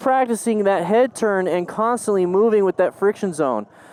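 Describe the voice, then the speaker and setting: Lively intonation marks a man talking at a fairly quick pace, recorded dry and close with no echo. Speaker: motorcycle riding instructor. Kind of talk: tutorial. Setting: outdoors. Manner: fast.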